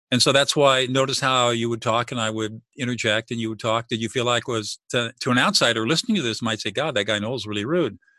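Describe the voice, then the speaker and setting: A man with an American accent talks very fast, with hardly any pauses, in a medium-pitched voice with a bright, sharp tone. The sound is dry and close, with no echo. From Southern California. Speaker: mediator and author. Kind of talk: interview.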